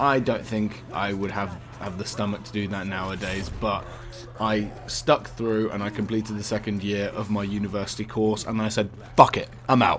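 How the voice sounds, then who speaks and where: Audible room echo surrounds a man with a British accent whose intonation stays fairly even. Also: moderate pace. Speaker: YouTuber, university student. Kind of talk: personal vlog update. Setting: uni halls bedroom by a window. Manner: self-correcting, stutters at times.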